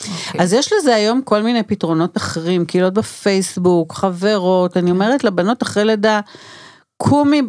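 Hers is an unremarkable speaking voice, a woman's, at medium pitch with ordinary pitch variation. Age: 60s. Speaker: doula and anthropologist. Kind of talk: interview. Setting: studio.

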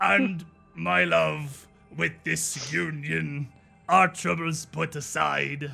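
A put-on character voice at a very slow pace, with faint music in the background. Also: man, fairly high pitch for a man. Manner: bad, exaggerated imitation.

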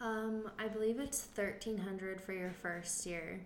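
The voice has fairly even intonation, with audible room echo around it. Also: woman. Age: 20s. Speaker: electrical apprentice, daughter of transplant patient. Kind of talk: casual chat.

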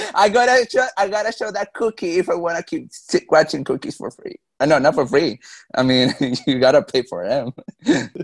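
In a dry, close recording with no echo, a man with a high voice speaks at a fairly slow pace, his pitch swinging very widely. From Mexico. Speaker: reality show contestant. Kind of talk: interview.

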